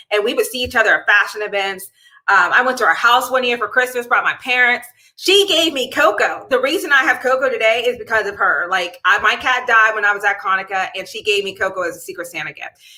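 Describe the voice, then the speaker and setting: A woman with an American accent talks at a very fast pace in a bubbly, animated tone, her fairly high pitch rising and falling with lively intonation. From Pittsburgh, Pennsylvania. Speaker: chemical engineer and livestream host. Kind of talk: casual livestream talk. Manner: loud.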